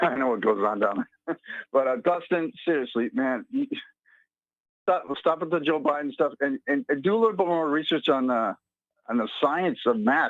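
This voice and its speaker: A man with a fairly high pitch speaks with very wide pitch swings and long, frequent pauses. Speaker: caller. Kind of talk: phone-in call. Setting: phone call. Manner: fast.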